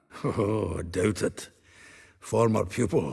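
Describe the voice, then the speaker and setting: A put-on character voice from a man, raspy and fairly low-pitched, at a fairly slow pace. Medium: video game. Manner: chatty, laughing.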